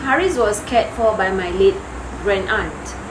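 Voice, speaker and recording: A woman speaks in a fairly high voice, with noticeable background noise and audible room echo. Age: 40s. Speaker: vlogger. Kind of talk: casual vlog chat. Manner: hesitant, with fillers.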